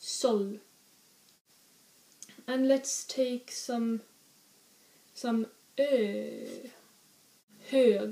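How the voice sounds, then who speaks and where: Fairly even intonation in a Swedish accent, with audible room echo. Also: woman. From northern Sweden. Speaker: language teacher. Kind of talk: language lesson. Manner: exaggerated, careful pronunciation of example words. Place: home room. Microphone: webcam.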